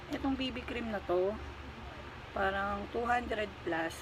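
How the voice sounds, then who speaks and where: A woman speaks at a fairly slow pace with ordinary pitch variation, her voice carrying audible room echo over noticeable background noise. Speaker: vlogger. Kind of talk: makeup tutorial. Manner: deliberately quieter than usual; casual, chatty.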